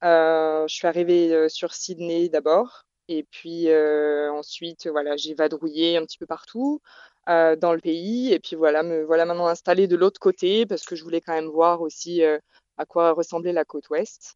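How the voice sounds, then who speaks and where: An ordinary speaking voice from a woman at a fairly low pitch, fairly slow in pace, with fairly even intonation. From southern France, Provence (Bouches-du-Rhône). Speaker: expat interviewee. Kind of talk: interview conversation. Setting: Skype call.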